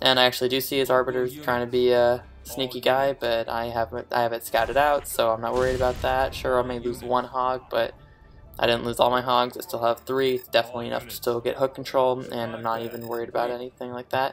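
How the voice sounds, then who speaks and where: Talking very fast in a flat monotone, a man at medium pitch is heard with music in the background. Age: young. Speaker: gaming commentator. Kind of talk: gameplay commentary. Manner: quiet, not loud; even standard tone, not extravagant.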